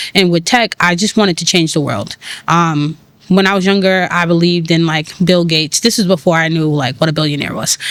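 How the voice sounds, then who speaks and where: Someone with a New York accent talks at a fairly quick pace. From New York City, Brooklyn. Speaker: tech founder and community organizer. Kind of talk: podcast interview. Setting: cafe.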